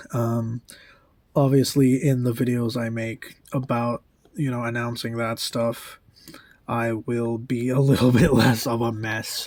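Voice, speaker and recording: A man talks quietly at a fairly slow pace. His medium-pitched voice stays monotone and flat. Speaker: musician and vlogger. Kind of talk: casual vlog update. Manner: speaking quietly; hesitant, many fillers.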